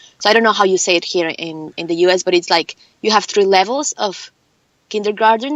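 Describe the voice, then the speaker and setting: Medium-pitched woman with a Mexican accent at a moderate pace. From Mexico. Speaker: film producer and actress. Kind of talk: interview.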